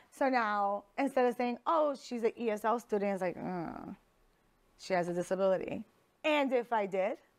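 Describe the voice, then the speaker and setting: On a very clean recording with a silent background, a woman with a non-native accent speaks at a moderate pace and a fairly high pitch, her intonation lively. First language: not English. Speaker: podcast host and teacher. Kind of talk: casual chat. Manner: animated.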